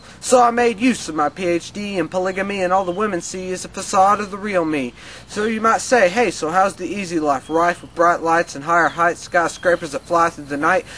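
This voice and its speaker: A man with a high voice talks at a fairly quick pace with hardly any pauses and ordinary pitch variation, over noticeable background noise. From Arkansas, USA. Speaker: spoken word poet. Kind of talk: spoken word poetry performance.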